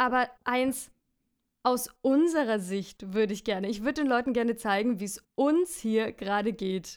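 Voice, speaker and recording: A woman has an ordinary speaking voice, fairly high in pitch, with ordinary pitch variation and a moderate pace. The recording is very clean, with a silent background. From Franconia, Bavaria. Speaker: musical performer. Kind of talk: casual chat.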